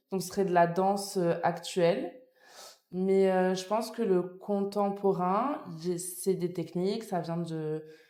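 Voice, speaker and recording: A woman's dark, mellow voice at medium pitch proceeds at a very slow pace with fairly even intonation amid audible room echo. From France (born in Nice, later Paris). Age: 20s. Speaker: dance student. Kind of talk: podcast interview. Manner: hesitant, many fillers.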